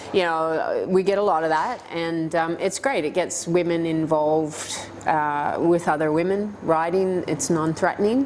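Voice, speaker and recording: A voice with a Canadian accent comes through over noticeable background noise. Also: woman. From Canada, Toronto. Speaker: para-cycling world champion. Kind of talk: interview.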